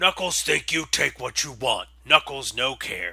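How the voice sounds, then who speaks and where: A man growls in a raspy, put-on character voice at a fairly slow pace. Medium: solo performance. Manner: broken speech, talks of himself in third person.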